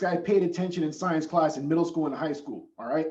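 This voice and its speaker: Audible room echo surrounds the voice. A man speaks at a fairly quick pace. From Southern California. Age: young. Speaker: safety consultant. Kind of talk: presentation. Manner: animated.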